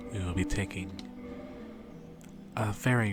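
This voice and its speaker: A soft-spoken man talks with a very deep, low pitch and lively intonation. Music plays in the background. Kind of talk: ASMR gameplay commentary.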